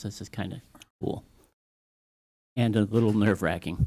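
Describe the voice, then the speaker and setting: A man with an American accent and a fairly low pitch talks at a fairly quick pace with fairly even intonation. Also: very clean recording, silent background. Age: 60s. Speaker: public commenter at town council. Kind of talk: public comment, informal speech. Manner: halting, with fillers.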